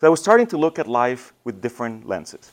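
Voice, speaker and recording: Very fast speech from a man with a Spanish accent, his pitch swinging very widely. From Mexico. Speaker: church communications director. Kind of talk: talk to students. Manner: casual, conversational.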